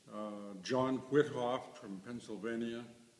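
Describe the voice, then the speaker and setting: The speaker has an American accent and talks at a very slow pace with fairly even intonation. Audible room echo is present. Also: man. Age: 80s+. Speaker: museum curator. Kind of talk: interview. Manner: halting.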